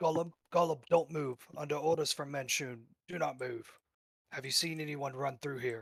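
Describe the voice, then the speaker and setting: A man puts on a raspy character voice, fairly high in pitch. He keeps his intonation fairly even and talks at a moderate pace. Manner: commanding.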